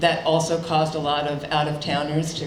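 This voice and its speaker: A woman with a very deep, low pitch and an American accent speaks in a monotone, flat intonation at a fairly quick pace, with noticeable background noise and audible room echo. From New York. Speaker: state economic development official. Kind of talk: keynote speech. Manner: casual, with many fillers and repetitions.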